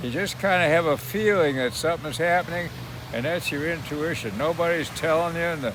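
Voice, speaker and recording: Against noticeable background noise, a man with an American accent talks at a fairly quick pace in a fairly high pitch with ordinary pitch variation. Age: 90s. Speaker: war veteran. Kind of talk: casual chat.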